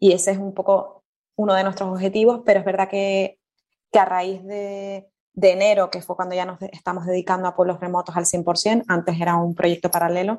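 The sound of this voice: With a Canarian accent, the speaker uses a dark, mellow tone, little pitch movement and a fairly quick pace. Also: woman, fairly low pitch for a woman.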